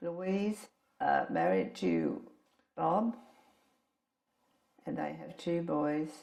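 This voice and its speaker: Very slow speech from a woman, broken by long, frequent pauses. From Australia, Brisbane. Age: 80s+. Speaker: elderly woman telling her life story. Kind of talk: recorded life-story interview.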